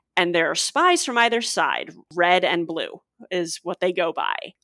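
On a very clean recording with a silent background and a dry, close sound with no echo, a woman with an American accent uses a plain, everyday voice and fairly even intonation. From US Midwest, St. Louis. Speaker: copy editor and podcaster. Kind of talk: casual chat.

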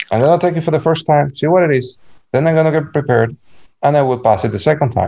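Talking very fast, a man with a Cuban accent has a fairly high pitch, a dark, mellow tone and ordinary pitch variation. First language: Spanish. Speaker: blind community member. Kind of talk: interview.

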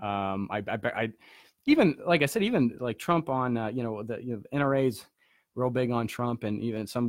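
This man speaks at medium pitch and a moderate pace, with ordinary pitch variation. The recording is very clean, with a silent background. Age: 20s. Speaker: political podcast host. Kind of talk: casual political commentary. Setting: home studio. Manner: halting, many fillers and restarts.

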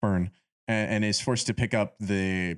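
A man with a normal speaking voice, fairly low in pitch, at a moderate pace with fairly even intonation, on a very clean recording with a silent background. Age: 20s. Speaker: film podcast host. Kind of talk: casual chat.

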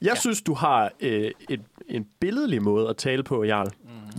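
Very wide pitch swings mark this man's moderate-paced speech, recorded very cleanly with a silent background in a dry, close sound with no echo. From Jutland, Denmark. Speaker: student radio co-host. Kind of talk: casual chat. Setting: studio. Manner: goes into falsetto when amused.

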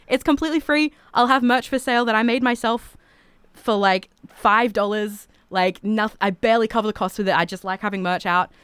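A woman with an Australian accent talks at a fairly quick pace in an animated tone, her pitch fairly high with ordinary variation. The sound is dry and close with no echo, on a very clean recording with a silent background. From Australia, Toowoomba, Queensland. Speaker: singer-songwriter. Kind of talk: casual chat. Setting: studio.

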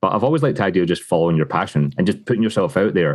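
A man speaks with a Glasgow accent. His pitch swings very widely. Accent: Scottish (Glasgow area). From Scotland, Lanarkshire near Glasgow. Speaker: whisky brand ambassador. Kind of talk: casual interview chat. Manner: upbeat, laughs often.

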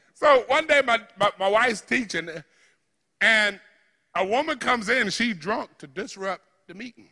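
Raised and projected, a man's voice sits at a high pitch with a bright, sharp tone. His intonation is lively. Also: long, frequent pauses, big swings in loudness. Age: 60s. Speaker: preacher leading a healing service. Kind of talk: sermon with healing ministry and audience participation. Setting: church with live audience. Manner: animated, informal, spontaneous.

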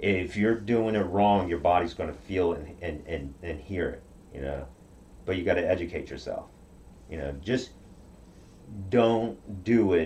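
With a very deep, low pitch and a dark, mellow tone, a man speaks fairly slowly and somewhat breathily, using lively intonation and long, frequent pauses. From Okinawa, Japan. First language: Japanese. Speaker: karate practitioner. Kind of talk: interview.

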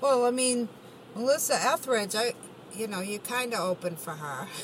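There is noticeable background noise as a woman speaks with lively intonation. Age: 50s. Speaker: podcast interviewer. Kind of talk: casual interview.

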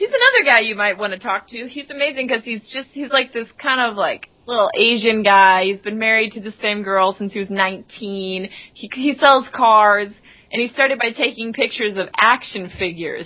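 Fairly high in pitch, a woman speaks at a moderate pace with ordinary pitch variation. Hers is an unremarkable speaking voice, with big swings in loudness. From Texas. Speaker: singer-songwriter. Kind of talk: casual podcast interview.

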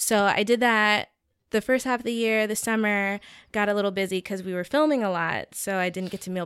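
Talking at a fairly quick pace with an American accent, a woman with a medium pitch and ordinary pitch variation has a plain, everyday voice, recorded dry and close with no echo in a very clean recording with a silent background. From US South, Georgia. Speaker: web series creator. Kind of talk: casual chat.

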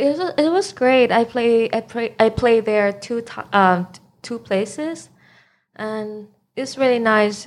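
A woman with a Thai accent at a very slow pace, fairly high in pitch, with ordinary pitch variation and big swings in loudness. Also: very clean recording, silent background. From Thailand. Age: 20s. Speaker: DJ. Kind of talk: casual chat.

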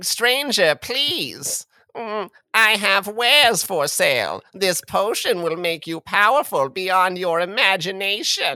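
In a put-on character voice, a female-sounding speaker takes a fairly slow pace. Her pitch sits at a medium level. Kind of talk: fantasy role-play. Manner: sly, wheedling.

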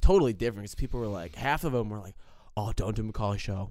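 A man's fairly low, dark and mellow voice on a very clean recording with a silent background. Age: 20s. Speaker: college student. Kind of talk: casual chat.

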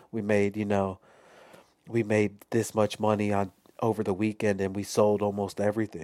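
The voice has an American accent and a dark, mellow tone. Its intonation is monotone and flat. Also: man, fairly low pitch for a man, moderate pace. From Chicago. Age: 30s. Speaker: clothing brand founder. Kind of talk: casual chat.

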